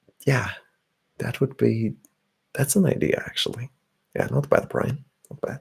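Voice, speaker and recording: Whispering at a moderate pace, a man leaves long, frequent pauses while his loudness swings widely. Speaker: ASMR streamer. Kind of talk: casual livestream chat with viewers. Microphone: slightly distorted audio.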